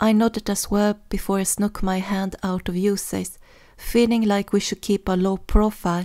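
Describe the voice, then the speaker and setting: In a very clean recording with a silent background, a woman with a non-native accent speaks at a medium pitch in a flat monotone with a dark, mellow tone. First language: not English. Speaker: fan fiction audiobook narrator. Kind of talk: audiobook narration.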